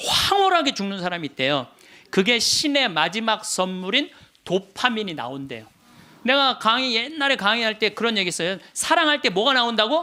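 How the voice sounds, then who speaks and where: A man speaks at high pitch in a raised, projected voice, with very wide pitch swings at a moderate pace. His tone is animated, bright and sharp. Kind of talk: lecture.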